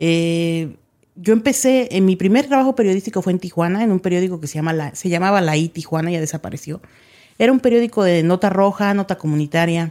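A woman talks very fast with lively intonation at a medium pitch, her tone dark and mellow. The recording is very clean, with a silent background. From Mexico. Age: 30s. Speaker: journalist. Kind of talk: interview.

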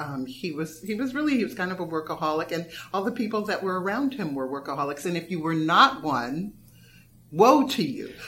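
Over noticeable background noise, a woman with a Californian accent and fairly low pitch talks at a fairly quick pace with very wide pitch swings. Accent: General American, Californian. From US West Coast, Los Angeles. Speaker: playwright and former dancer. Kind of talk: interview conversation. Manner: hesitant, many fillers.

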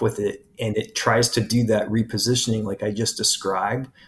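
With an American accent, a man talks in a somewhat breathy, medium-pitched voice with monotone, flat intonation. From US Pacific Northwest, Portland Oregon. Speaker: biology professor. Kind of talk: interview. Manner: halting.

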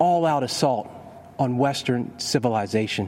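Speaking at a fairly slow pace, a man uses lively intonation over noticeable background noise. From Kentucky. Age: 30s. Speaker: state attorney general. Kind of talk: prepared political speech.

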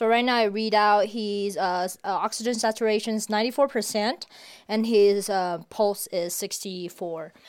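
At a very slow pace, a woman with a medium pitch speaks with fairly even intonation on a very clean recording with a silent background. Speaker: PhD student volunteer. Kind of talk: casual interview.

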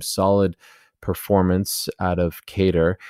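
The tone is dark and mellow. The recording is very clean, with a silent background and a dry, close sound free of echo. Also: man. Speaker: MMA podcast host. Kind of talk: casual commentary podcast. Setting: home, late at night. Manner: talking quieter than usual.

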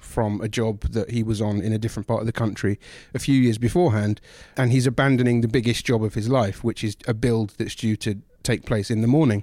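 A fairly quick voice in a London accent, dark and mellow in tone, fairly even in intonation and very even in loudness, on a very clean recording with a silent background. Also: man. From London, England. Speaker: film critic. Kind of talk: casual chat.

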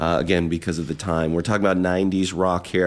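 A man's voice with vocal fry. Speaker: radio host. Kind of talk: radio DJ patter between songs, friendly and chatty. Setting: radio studio broadcast. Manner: upbeat, conversational, warmly enthusiastic.

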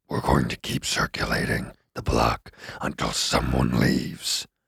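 In a put-on character voice, a man speaks at a moderate pace with a very deep, low pitch, a raspy sound and monotone, flat intonation. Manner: put-on, impatient.

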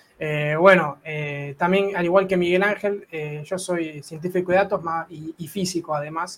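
A man with an Argentine accent speaks at a moderate pace in a high pitch with fairly even intonation, amid noticeable background noise. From Argentina. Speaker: data scientist and physicist. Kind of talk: casual interview chat.

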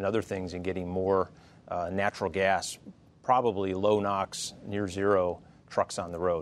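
Here a man speaks at a moderate pace with a fairly low pitch. His intonation is monotone and flat. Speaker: trade association president. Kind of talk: panel discussion. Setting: studio.

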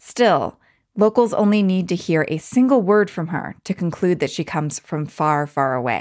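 In a very clean recording with a silent background, a woman speaks at a moderate pace. Her medium pitch moves in very wide swings. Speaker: podcast host. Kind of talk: scripted narration.

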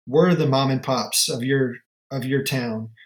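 Fairly high male voice with a Southern US accent, fairly even intonation and a moderate pace. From US South, upstate South Carolina. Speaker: watch company founder. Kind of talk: podcast interview.

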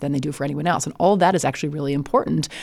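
A woman with an American accent talks on a very clean recording with a silent background. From US Midwest (Illinois). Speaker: law professor and legal analyst. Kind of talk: conversational interview. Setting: studio.

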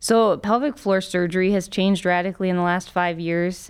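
A woman speaks in a plain, everyday voice. The recording is very clean, with a silent background. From Ohio, US Midwest (Cincinnati). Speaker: colorectal surgeon. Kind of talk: interview.

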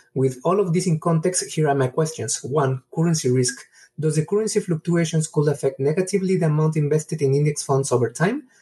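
A man talks at a fairly quick pace in a fairly high pitch, with ordinary pitch variation. His tone is dark and mellow, and his loudness is very even. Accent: Mexican. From Mexico. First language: Spanish. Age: 30s. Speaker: caller. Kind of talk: voicemail question.

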